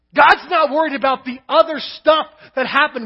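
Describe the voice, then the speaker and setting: This man's voice is extremely high in pitch. He talks at a moderate pace. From Kentucky. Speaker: pastor. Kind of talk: sermon.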